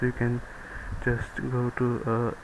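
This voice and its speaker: A man speaks with a non-native accent. Noticeable background noise is present. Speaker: programming tutorial maker. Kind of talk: screen-recorded coding tutorial. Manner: casual, hesitant with fillers.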